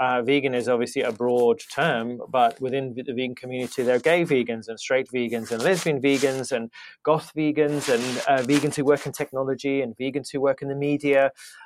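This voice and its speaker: A man speaks in a British accent at a medium pitch. His pace is fairly quick and his intonation fairly even. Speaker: podcast host. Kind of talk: casual interview.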